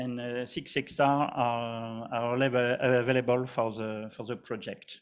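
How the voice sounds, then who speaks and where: Very slowly and in a monotone, flat intonation, a man with a French accent speaks at medium pitch. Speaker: company representative presenting a project. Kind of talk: conference presentation. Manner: halting, many fillers and repetitions.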